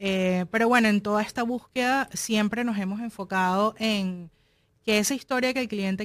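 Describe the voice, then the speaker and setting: A woman with a Venezuelan accent and fairly even intonation, on a very clean recording with a silent background. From Venezuela, Caracas. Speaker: film producer and digital marketing specialist. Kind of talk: interview.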